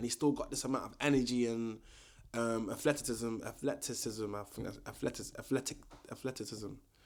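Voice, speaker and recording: A man is speaking. He talks in a London accent. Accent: London multicultural English. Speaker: boxing commentator YouTuber. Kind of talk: casual vlog commentary. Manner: casual, filler-heavy.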